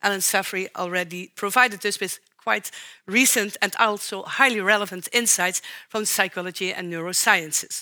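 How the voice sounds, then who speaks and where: In a very clean recording with a silent background, a woman with a Dutch accent speaks at a moderate pace. Her tone is bright and sharp, at a medium pitch with fairly even intonation. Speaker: professor of socio-ecological interactions. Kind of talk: public lecture. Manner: formal.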